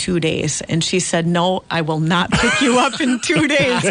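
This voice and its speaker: A woman's medium-pitched voice with an Upper Midwest accent, animated in tone and lively in intonation, over noticeable background noise. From Central Minnesota. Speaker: farmland auctioneer. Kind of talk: radio interview.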